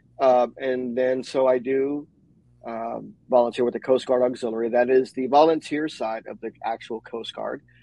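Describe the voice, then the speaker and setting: With an American accent, a man talks at a moderate pace and a medium pitch. His intonation is monotone and flat, while his loudness swings widely. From New York. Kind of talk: casual chat. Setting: live video stream.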